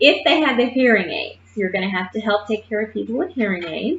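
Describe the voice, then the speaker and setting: A woman speaks in a fairly high voice with a somewhat breathy quality. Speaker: nursing instructor. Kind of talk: lecture. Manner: casual.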